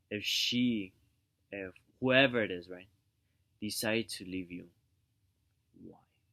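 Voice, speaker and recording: A quiet man with a fairly low pitch speaks at a fairly slow pace with long, frequent pauses. His intonation is fairly even, though his loudness swings widely. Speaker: vlogger giving relationship advice. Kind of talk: casual monologue. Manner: speaking quietly; halting, repetitive.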